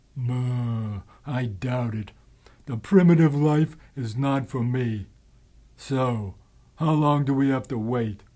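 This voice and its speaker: In a whiny, cartoonish character voice of medium pitch, a man speaks fairly slowly and leaves long, frequent pauses. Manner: whiny, skeptical.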